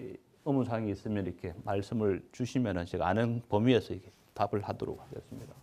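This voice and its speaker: This man has a fairly low pitch and a dark, mellow tone with ordinary pitch variation. He talks at a very fast pace. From Busan, South Korea. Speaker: asset management executive, finance lecturer. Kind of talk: public lecture. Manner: hesitant, many fillers.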